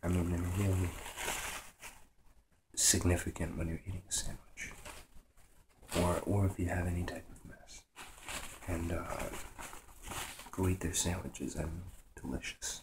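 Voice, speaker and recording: A soft-spoken man whispers at a moderate pace, his voice somewhat breathy. He leaves long, frequent pauses. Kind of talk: ASMR show-and-tell talk, half whispered half soft spoken. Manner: soft-spoken, half whispered.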